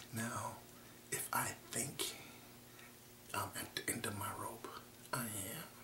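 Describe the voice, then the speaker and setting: Whispering in a calm tone, a man speaks at a very slow pace with long, frequent pauses over noticeable background noise. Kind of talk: ASMR affirmation talk to camera. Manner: soft, calm, encouraging.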